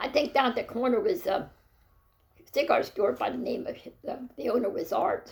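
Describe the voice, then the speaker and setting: A woman with a Pennsylvania accent speaks at a moderate pace, pausing often and at length. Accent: Pennsylvania (Mid-Atlantic US). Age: 80s+. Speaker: interviewee, grandmother. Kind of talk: family oral-history interview. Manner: halting, many fillers and repetitions.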